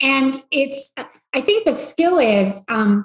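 Against a quiet background with audible room echo, a woman speaks. She has a high pitch and an Australian accent. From rural Australia. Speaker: investment bank CEO; podcast guest. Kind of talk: interview. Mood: reflective, warm storytelling. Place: home room. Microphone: video call.

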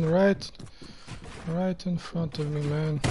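Against clear background noise, the words come out very slowly. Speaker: gamer streamer. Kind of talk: live gameplay commentary.

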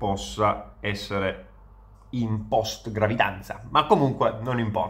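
Fairly low in pitch, a man talks at a fairly slow pace. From Veneto, northern Italy. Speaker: content creator. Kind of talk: casual monologue reacting to comments. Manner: hesitant, with fillers. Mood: ironic, amused. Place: home room. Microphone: phone near.

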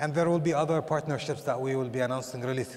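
His intonation fairly even, a man talks. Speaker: tourism authority executive; panelist. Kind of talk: panel discussion. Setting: stage with audience. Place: hall. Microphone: headset.

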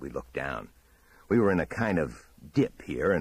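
The intonation is lively. Someone is reading aloud in a natural voice.

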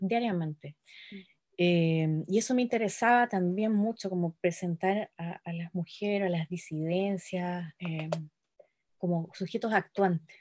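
Fairly slow in pace, a woman speaks with a fairly low pitch and ordinary pitch variation. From Chile. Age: 40s. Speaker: poet and editor; guest. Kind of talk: interview. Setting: video call. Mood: calm, reflective. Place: home room. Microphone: video call.

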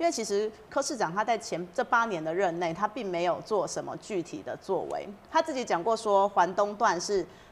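With a Taiwanese accent, a woman speaks at a moderate pace and medium pitch. She leaves hardly any pauses. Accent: Taiwanese Mandarin. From Taiwan, Yunlin County. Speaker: city council candidate. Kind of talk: interview. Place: studio. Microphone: lapel.

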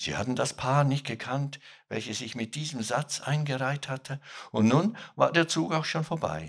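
A man speaks at a fairly slow pace with vocal fry against a quiet background. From Switzerland. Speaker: author. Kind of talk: literary reading. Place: stage. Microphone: studio mic.

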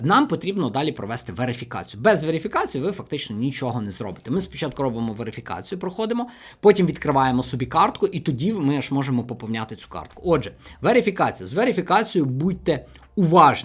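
With big swings in loudness and very wide pitch swings, a man talks very fast in a somewhat breathy, fairly high voice, captured in a very clean recording with a silent background. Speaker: finance video blogger. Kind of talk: tutorial.

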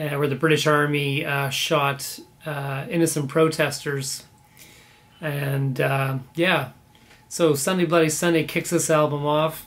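A man talks at a very slow pace with a Canadian accent. His intonation is monotone and flat. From Canada, born in Belfast. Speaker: vinyl record collector YouTuber. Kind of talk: casual video monologue about records. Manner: casual with many fillers. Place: home room.

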